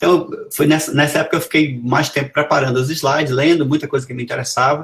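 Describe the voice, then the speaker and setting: With a fairly high pitch and fairly even intonation, a man talks at a very fast pace. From Brazil, Amazonas. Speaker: professor. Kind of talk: lecture.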